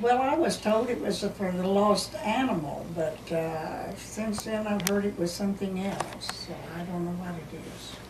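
Over noticeable background noise, a woman talks at a fairly slow pace with ordinary pitch variation and hardly any pauses. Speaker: local resident telling history. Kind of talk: oral history interview answer. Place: home room.

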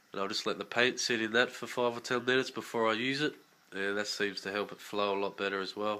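Here a man speaks with an Australian accent. The recording is very clean, the background silent. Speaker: scale model builder. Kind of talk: casual talk to camera.

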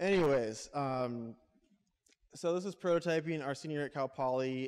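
A man with an American accent and ordinary pitch variation. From US West Coast. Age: 20s. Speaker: entrepreneur. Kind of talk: talk to a live audience. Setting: stage with audience. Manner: casual, with filler words. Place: hall. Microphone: handheld.

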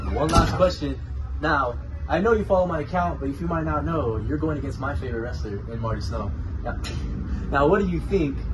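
Noticeable background noise fills the recording. A man talks at a fairly quick pace over it. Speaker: wrestling interviewer. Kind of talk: interview. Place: office.

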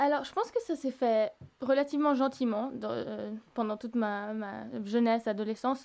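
A woman talks at a fairly high pitch with ordinary pitch variation. She has an ordinary speaking voice and keeps a moderate pace. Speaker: singer-songwriter. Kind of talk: interview. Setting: remote recording.

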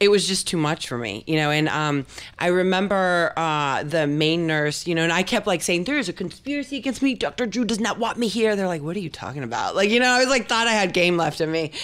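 An animated woman with a fairly low pitch talks at a fairly quick pace, using very wide pitch swings and hardly any pauses. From Argentina. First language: Spanish. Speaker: model and actress; actress. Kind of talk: interview. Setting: office. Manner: halting. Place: studio. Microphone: studio mic.

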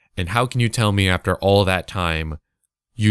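This very clean recording has a silent background and a dry, close sound with no echo. A man speaks at a moderate pace with ordinary pitch variation. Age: young (19). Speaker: podcast host and Twitch streamer. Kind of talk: casual solo podcast monologue.

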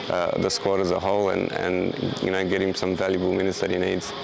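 Over noticeable background noise, a man with a very deep, low pitch speaks very fast in a monotone, flat way. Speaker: football head coach. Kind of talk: interview answer. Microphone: lapel.

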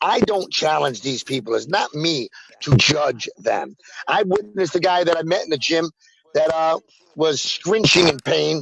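Recorded with a dry sound and no echo, a man with a fairly high pitch talks at a moderate pace, his pitch varying in an ordinary way. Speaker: self-described faith healer and medium; faith healer in a debate. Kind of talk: heated debate. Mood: defensive, insistent. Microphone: video call.

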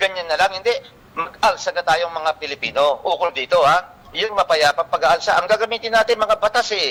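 Raising and projecting his voice, a man talks at a high pitch. He moves at a fairly quick pace with ordinary pitch variation. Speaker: land title advocate on radio. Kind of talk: radio talk show discussion. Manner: halting with many fillers; animated.

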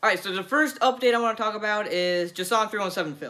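A man speaks in a raised, projected voice with a bright, sharp tone. The background is quiet. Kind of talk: casual vlog chat. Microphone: phone near.

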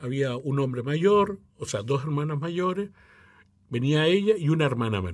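Speaking fairly slowly with lively intonation, a man talks over a quiet background. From Chile, Mapuche; Chile. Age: 60s. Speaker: opera tenor and choir director; interviewee. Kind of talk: interview; interview answer. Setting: radio studio. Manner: halting. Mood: calm, reflective. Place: studio. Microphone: studio mic.

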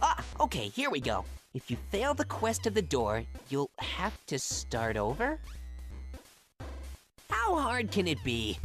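Someone uses a put-on character voice at a fairly slow pace, with long, frequent pauses. Faint music plays in the background. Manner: whiny, sarcastic, indignant.

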